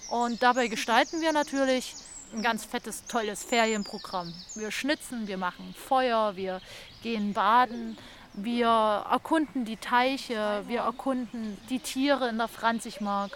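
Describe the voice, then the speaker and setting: A woman talks at a fairly slow pace. There is music in the background. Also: fairly high pitch for a woman, ordinary pitch variation. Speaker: podcast host. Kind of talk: podcast narration. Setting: outdoors.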